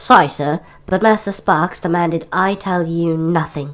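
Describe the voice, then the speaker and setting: Someone uses a put-on character voice at a middle pitch and a moderate pace. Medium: read story. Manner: polite, formal.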